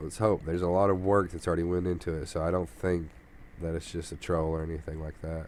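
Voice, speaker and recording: Very deep and low, a man's voice moves with fairly even intonation. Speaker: gaming YouTuber. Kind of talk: casual gameplay commentary.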